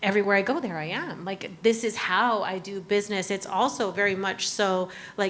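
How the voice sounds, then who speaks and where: Using an American accent, a woman speaks at a fairly quick pace with a medium pitch. Her intonation stays fairly even. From Arizona, US. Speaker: cafe owner, business panelist. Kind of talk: panel discussion. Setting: room with live audience. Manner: casual, halting.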